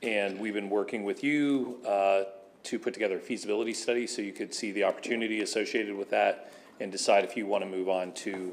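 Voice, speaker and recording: A man talks at a fairly quick pace in a fairly low voice. Light background noise can be heard. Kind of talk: presentation to a board. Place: meeting room. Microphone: podium.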